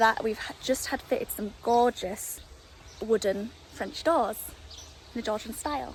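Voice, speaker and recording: A woman with an English accent speaks at a fairly high pitch and a fairly slow pace, with ordinary pitch variation. Long, frequent pauses break up her speech, and background noise is noticeable. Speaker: home renovation vlogger. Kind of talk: casual vlog house tour. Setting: outdoors. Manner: loud.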